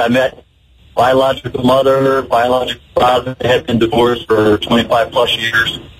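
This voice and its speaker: Noticeable background noise accompanies a man of medium pitch who talks at a moderate pace. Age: 60s. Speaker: caller. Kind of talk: casual chat. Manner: halting.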